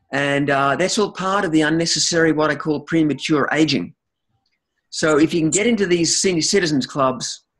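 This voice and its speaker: An Australian accent at a moderate pace, with very even loudness and ordinary pitch variation. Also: man, fairly high pitch for a man. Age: 60s. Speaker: chiropractor. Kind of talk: interview. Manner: halting, many repeated words.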